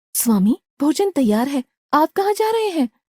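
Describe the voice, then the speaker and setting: A female-sounding cartoonish character voice sits at a high pitch and moves at a moderate pace. Its pitch swings very widely. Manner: soft, affectionate.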